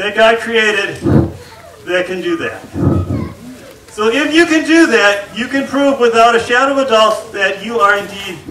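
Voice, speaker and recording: A man with a raised, projected voice and lively intonation, at a fairly slow pace, with audible room echo and light background noise. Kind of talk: stage show patter to children. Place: tent. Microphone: camera far.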